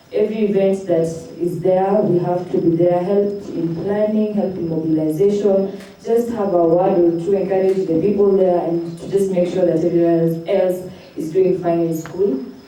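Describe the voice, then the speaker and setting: Amid noticeable background noise and audible room echo, a woman speaks at a medium pitch and a moderate pace in a monotone, flat intonation. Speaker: student leader. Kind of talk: self-introduction at event.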